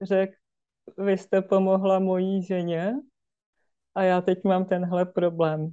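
The voice has a dark, mellow and calm tone against a quiet background. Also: woman. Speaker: therapist. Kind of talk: casual chat. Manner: calm, slow.

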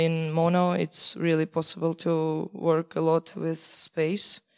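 This woman's voice sits fairly low, and she speaks at a very slow pace in a monotone, flat delivery. The sound is dry and close, with no echo. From Belarus. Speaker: sound art student and event organizer. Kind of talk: presentation. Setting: stage with audience.

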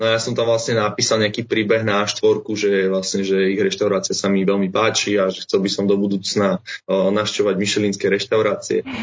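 Hardly pausing at all, a man speaks at a fairly low pitch with monotone, flat intonation. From Slovakia, Bratislava. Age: 20s. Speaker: travelling chef. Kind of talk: interview. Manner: hesitant, many fillers.

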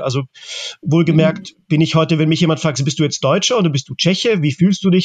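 This man's voice sits fairly high for a man, moving at a fairly quick pace with ordinary pitch variation. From Germany (Czech-born, raised in Germany since the 80s). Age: 40s. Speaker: artist. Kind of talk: interview. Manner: halting, many filler sounds.

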